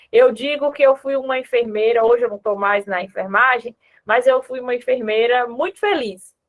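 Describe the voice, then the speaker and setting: Lively intonation carries this speech along at a moderate pace. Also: woman. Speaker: former neonatal ICU nurse, speaker. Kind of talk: online conference talk and Q&A.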